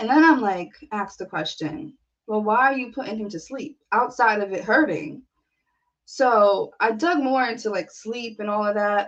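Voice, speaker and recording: A woman's normal speaking voice, fairly high in pitch, with lively intonation at a moderate pace. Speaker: poet. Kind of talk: casual live stream talk to camera.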